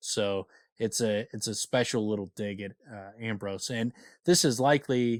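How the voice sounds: Intonation stays fairly even in this natural reading voice. Behind it, things are quiet.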